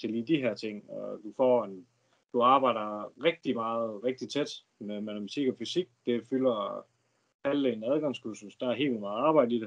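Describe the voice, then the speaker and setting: Loudness swings widely in a plain, everyday voice. The pitch varies in an ordinary way. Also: man. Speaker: student, former fisherman. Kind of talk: casual Q&A.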